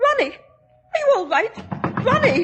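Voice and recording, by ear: In a put-on character voice, a woman speaks at an extremely high pitch with big pitch swings, a fairly bright tone and a fairly slow pace.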